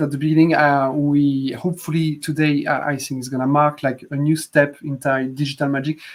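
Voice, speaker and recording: Delivered in a French accent at a fairly quick pace with hardly any pauses, the speech has monotone, flat intonation in a very clean recording with a silent background. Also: man. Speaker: app developer hosting a live stream. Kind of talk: live stream chat. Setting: Facebook Live video stream.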